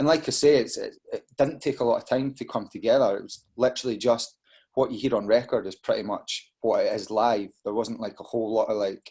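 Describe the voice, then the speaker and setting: Speaking fairly quickly, a man talks with a Scottish accent. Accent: Scottish (Fife). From Scotland, Dunfermline, Fife. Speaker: rock band singer. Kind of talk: interview.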